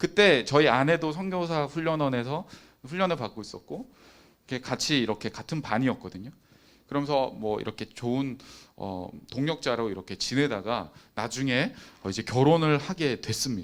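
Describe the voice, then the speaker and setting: A man talks at a moderate pace in a medium pitch, his intonation lively. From Busan, South Korea. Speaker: youth pastor (preacher). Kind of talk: sermon. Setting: online Zoom service.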